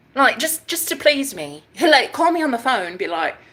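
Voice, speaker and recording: At a moderate speed, someone talks with a British accent. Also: woman. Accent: British-sounding accent, self-adopted. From Iowa. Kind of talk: casual, slangy. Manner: chatty, dramatic, expressive storyteller.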